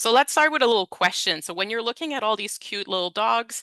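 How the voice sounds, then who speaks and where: A woman speaks with a non-native accent and lively intonation. Her tone is bright and sharp, and the sound is dry and close with no echo. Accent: Francophone. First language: French. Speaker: education consultant presenter. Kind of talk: webinar presentation. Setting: online webinar. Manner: conversational, with fillers.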